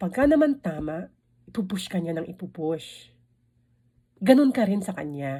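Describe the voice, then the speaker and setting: A woman's medium-pitched, somewhat breathy voice has a dark, mellow tone and very wide pitch swings. The recording is very clean, with a silent background. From Philippines. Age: 50s. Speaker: vlogger. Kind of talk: casual vlog talk. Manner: halting.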